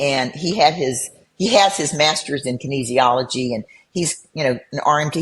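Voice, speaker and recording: Somewhat breathy, a woman speaks with a very deep, low pitch. Her intonation is lively. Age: 70s. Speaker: bodybuilder. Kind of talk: casual chat.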